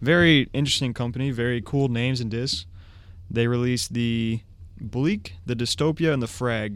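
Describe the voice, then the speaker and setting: It is a plain, everyday voice. A man speaks at a medium pitch and a moderate pace. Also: ordinary pitch variation. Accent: American. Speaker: disc golf podcast co-host. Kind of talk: casual chat. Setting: studio.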